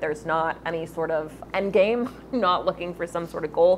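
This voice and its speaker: A woman's fairly low voice with fairly even intonation, over noticeable background noise. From US South, Memphis, Tennessee. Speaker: barista and artist. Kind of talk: casual interview. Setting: coffee shop.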